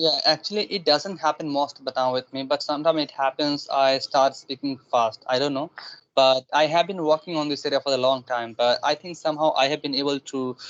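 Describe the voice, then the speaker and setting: A man speaks fairly quickly with a fairly high pitch. His intonation is fairly even, and the sound is dry and close with no echo. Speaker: English learner. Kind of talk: casual chat. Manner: fast.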